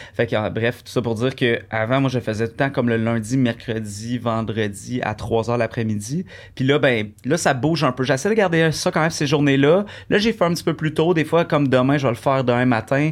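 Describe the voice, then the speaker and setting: On a very clean recording with a silent background, a man speaks in a normal speaking voice at a fairly quick pace. His pitch is medium, with ordinary variation. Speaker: singer and Twitch streamer. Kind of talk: casual interview chat.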